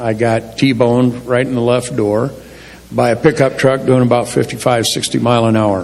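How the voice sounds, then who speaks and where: A man speaks at a moderate pace and a medium pitch, with ordinary pitch variation. Audible room echo and noticeable background noise are present. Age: 60s. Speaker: church member sharing testimony. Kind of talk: testimony. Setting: church. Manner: casual, plain-spoken.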